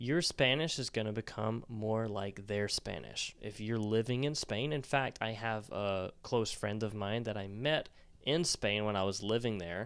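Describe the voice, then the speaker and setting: A man speaks in a plain, everyday voice at a fairly low pitch with ordinary pitch variation. His pace is fairly slow, with hardly any pauses. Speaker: Spanish language teacher. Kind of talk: educational talk to camera.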